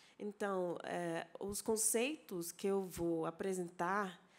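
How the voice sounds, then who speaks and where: A woman with an English accent, fairly low in pitch, dark and mellow in tone, with ordinary pitch variation. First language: English (speaking Portuguese). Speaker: anthropology professor. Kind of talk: conference lecture. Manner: halting, with many fillers and self-corrections.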